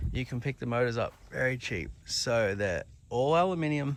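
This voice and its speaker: Speaking at a fairly slow pace, a man with an Australian accent uses lively intonation at a medium pitch. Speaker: car builder and channel host. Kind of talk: casual video walkthrough. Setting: outdoors, very hot.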